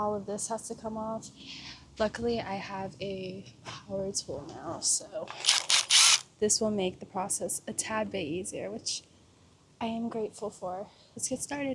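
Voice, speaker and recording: Over noticeable background noise, a woman with a fairly high pitch speaks at a fairly slow pace with fairly even intonation and long, frequent pauses. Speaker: car DIY vlogger. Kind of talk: casual vlog tutorial. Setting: outdoors.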